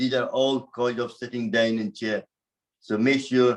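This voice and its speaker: A man talks at a moderate pace and a medium pitch. His intonation stays fairly even. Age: 60s. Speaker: yoga teacher. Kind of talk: fitness class talk.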